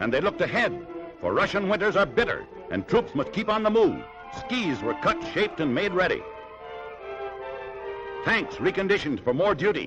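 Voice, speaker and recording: A man's dramatic tone with an American accent, moderate pace, long and frequent pauses, and music in the background. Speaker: newsreel commentator. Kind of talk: newsreel narration. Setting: 1940s archival recording. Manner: dramatic, rousing.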